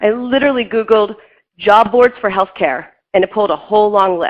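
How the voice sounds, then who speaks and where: A woman's medium pitch with ordinary pitch variation, at a fairly quick pace. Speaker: job search expert. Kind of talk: career workshop presentation. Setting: room with live audience, webinar. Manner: fast; animated.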